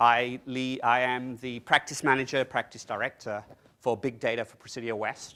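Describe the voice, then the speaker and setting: A man speaks with an English accent at a medium pitch. His tone is bright and sharp. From England. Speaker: technology consultant presenting at a conference. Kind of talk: conference presentation. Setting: conference room with audience. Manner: fast; animated.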